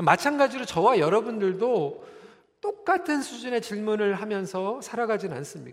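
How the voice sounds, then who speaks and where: This man speaks with a high pitch. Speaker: pastor. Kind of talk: sermon. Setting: church. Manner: calm, measured.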